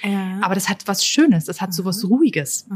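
The speaker is a woman with a medium pitch. Her voice is somewhat breathy, and she moves at a fairly quick pace. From Austria, near Linz. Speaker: tourism marketing manager. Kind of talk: casual interview. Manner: hesitant with many fillers.

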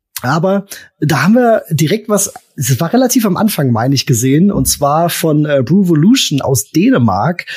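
A man speaks in a fairly high voice with very wide pitch swings. His loudness stays very even. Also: moderate pace. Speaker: beer podcast co-host. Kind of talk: casual chat.

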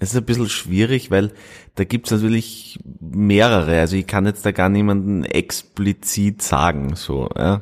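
Recorded very cleanly against a silent background, a man with a fairly low pitch talks at a fairly slow pace with ordinary pitch variation. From Austria, Styria (near Carinthian border). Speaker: actor. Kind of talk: interview. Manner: halting.

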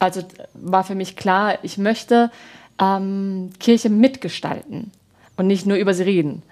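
Slowish and marked by long, frequent pauses, a woman's medium-pitched voice keeps fairly even intonation on a very clean recording with a silent background. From Baden, southwest Germany. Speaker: parish pastoral worker and former actress. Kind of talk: interview. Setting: TV studio. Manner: hesitant, frequent fillers.

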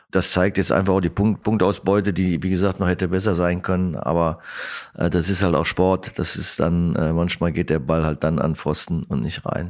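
Very deep and low in pitch, a man speaks with very even loudness and fairly even intonation. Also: moderate pace. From Germany, Lower Rhine (Krefeld). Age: 50s. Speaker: football coach. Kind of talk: interview.

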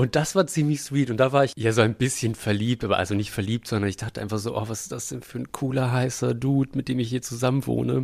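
Medium-pitched male voice at a very fast pace with hardly any pauses. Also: ordinary pitch variation. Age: 30s. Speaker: puppeteer and podcast co-host. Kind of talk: casual chat.

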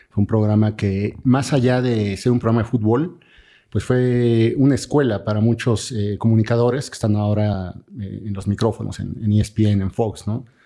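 Against a quiet background, a man talks in a dark, mellow tone with fairly even intonation. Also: medium pitch for a man, moderate pace. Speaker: sports journalist and author. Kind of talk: podcast interview.

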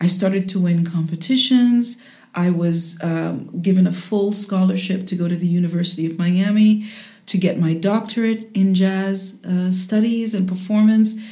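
With a medium pitch and a dark, mellow, somewhat breathy tone, a woman speaks at a moderate pace with fairly even intonation amid audible room echo. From Jamaica, later raised in the United States. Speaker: jazz singer and voice teacher. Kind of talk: interview.

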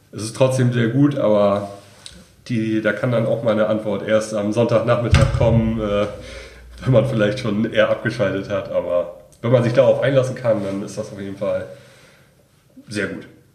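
In a room with audible echo, a man at medium pitch speaks at a moderate pace in a somewhat breathy, monotone, flat voice, with long, frequent pauses and big swings in loudness. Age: 20s. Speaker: master's student. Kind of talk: interview.

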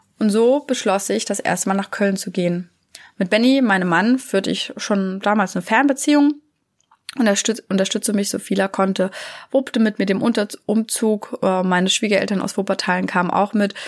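Speaking at a moderate pace, a woman has an unremarkable speaking voice, medium pitch and ordinary pitch variation. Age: 30s. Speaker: parenting coach. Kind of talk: solo podcast monologue.

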